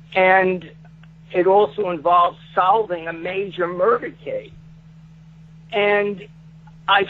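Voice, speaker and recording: A man speaks very slowly with a Brooklyn accent. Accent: New York (Brooklyn). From Brooklyn, New York. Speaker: author. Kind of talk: interview. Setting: radio studio. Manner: halting.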